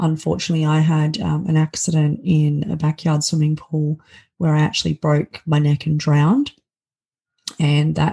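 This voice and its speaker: With an Australian accent, a woman with a very deep, low, dark and mellow voice speaks at a moderate pace, somewhat breathy and monotone in flat intonation. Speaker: keynote speaker and author. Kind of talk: interview conversation. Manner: halting, with many filler words.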